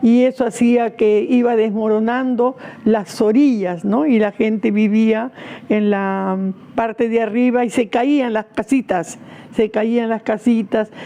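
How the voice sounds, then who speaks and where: A woman speaks at a very slow pace with a fairly high pitch. Her loudness stays very even and her intonation fairly even. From Peru, Lima (Rímac). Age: 80s+. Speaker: activist. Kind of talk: interview testimony. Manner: hesitant, with fillers.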